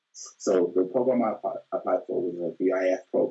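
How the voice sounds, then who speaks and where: Here is a man speaking. He has a Birmingham accent. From Birmingham, England. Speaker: high school math teacher. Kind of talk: casual interview.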